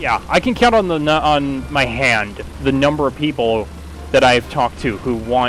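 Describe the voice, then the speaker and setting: Noticeable background noise sits under the voice. The man speaks at a medium pitch. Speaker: video game streamer. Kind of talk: gameplay commentary while live streaming. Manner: halting, stutters when concentrating; casual, self-deprecating asides.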